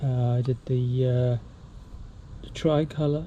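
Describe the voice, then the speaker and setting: Soft-spoken delivery at a fairly slow pace. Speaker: DIY car mechanic. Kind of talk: tutorial.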